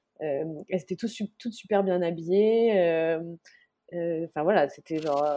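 A woman speaks in an unremarkable speaking voice at a medium pitch, with ordinary pitch variation. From France. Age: 30s. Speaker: journalist and mother. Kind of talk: casual interview.

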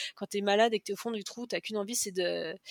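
The speaker moves along at a fairly quick pace. The intonation stays fairly even. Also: woman. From western France, Cholet. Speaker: cancer survivor, mother. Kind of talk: personal testimony interview. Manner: talkative.

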